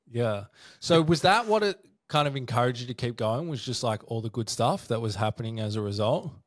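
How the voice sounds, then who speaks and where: Here a man speaks with an Australian accent at a medium pitch and a fairly quick pace. The recording is very clean, with a silent background. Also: ordinary pitch variation. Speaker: podcast host and addiction recovery service promoter. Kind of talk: casual interview chat.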